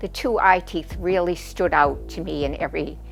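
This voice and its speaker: Music plays in the background as a woman with an American accent speaks at a moderate pace. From Boston area, Massachusetts. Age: 70s. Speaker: orthodontic patient. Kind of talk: testimonial interview. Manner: hesitant, many fillers.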